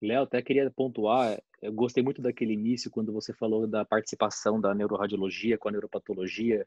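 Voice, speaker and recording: Over a quiet background, a man with a fairly low voice talks fairly quickly in a flat monotone, with hardly any pauses and a dry sound with no echo. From Mato Grosso, Brazil. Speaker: oncologist, session moderator; session moderator. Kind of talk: casual discussion. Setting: online video call. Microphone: video call.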